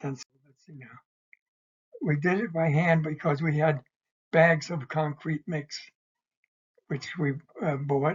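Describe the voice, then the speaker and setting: Somewhat breathy, this voice proceeds at a very slow pace. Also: man. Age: 80s+. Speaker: retired draftsman, church volunteer builder. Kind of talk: informal slide-show presentation. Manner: slow, hesitant, many fillers.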